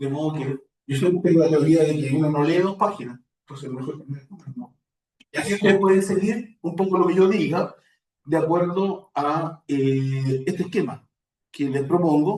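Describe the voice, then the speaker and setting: A man talks with a strong Chilean accent at a fairly high pitch. His pitch variation is ordinary and his pace moderate. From Chile, Santiago. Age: old. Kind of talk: spiritual talk.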